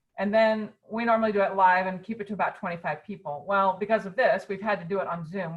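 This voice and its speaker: At a fairly quick pace, a woman speaks in a medium pitch. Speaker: fundraising consultant. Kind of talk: webinar talk. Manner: fast; energetic.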